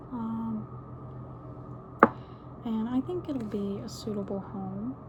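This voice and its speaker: A soft-spoken woman amid noticeable background noise. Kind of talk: ASMR video, casual talk to camera.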